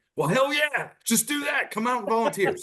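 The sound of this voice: Putting on a character voice, a man speaks gruffly at extremely high pitch and a fairly quick pace.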